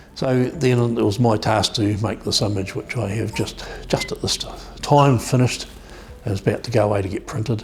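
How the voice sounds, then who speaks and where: A man's fairly low voice in a New Zealand accent, fairly quick in pace, with ordinary pitch variation and noticeable background noise. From New Zealand South Island, Dunedin. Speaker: photographer. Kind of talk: documentary interview.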